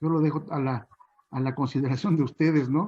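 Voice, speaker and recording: This man talks at a moderate pace with a dark, mellow tone. His pitch varies in an ordinary way. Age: 60s. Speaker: chinampa farmer. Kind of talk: panel talk. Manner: hesitant, many fillers.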